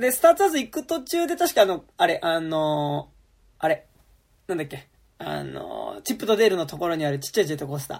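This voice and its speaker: Speaking at a very fast pace, a man's voice shows big swings in loudness. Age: 30s. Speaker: podcast host. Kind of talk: casual chat.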